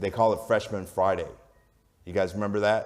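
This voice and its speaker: The speaker is a man with an American accent and a fairly low pitch. His voice is booming. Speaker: sports media executive. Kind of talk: onstage interview. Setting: stage with audience. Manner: loud.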